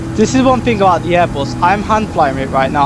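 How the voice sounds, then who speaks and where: Through noticeable background noise, a man's voice rings out high in pitch. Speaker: flight simulator streamer. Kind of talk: live gameplay stream commentary. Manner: quiet, focused.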